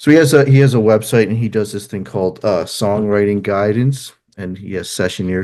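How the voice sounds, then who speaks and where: Over a quiet background, a man with an American accent speaks fairly quickly in a dark, mellow tone, fairly low in pitch with ordinary pitch variation. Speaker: musician and therapist. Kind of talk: interview. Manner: halting, many fillers.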